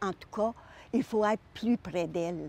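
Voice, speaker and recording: Speaking at a very slow pace, the woman keeps a medium pitch with ordinary pitch variation. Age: 80s+. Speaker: senior volunteer. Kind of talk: testimony.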